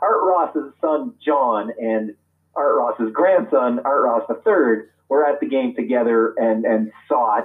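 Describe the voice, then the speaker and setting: A man speaks at a very slow pace. His loudness stays very even throughout. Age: 50s. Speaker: hockey author and historian. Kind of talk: interview. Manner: halting.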